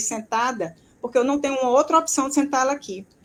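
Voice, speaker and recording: Over noticeable background noise, a woman speaks very fast at a high pitch. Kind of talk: casual chat. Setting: live video stream. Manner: soft-spoken.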